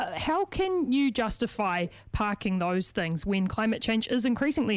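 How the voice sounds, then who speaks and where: With a New Zealand accent, a woman speaks using lively intonation. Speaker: radio host interviewer. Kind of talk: radio interview.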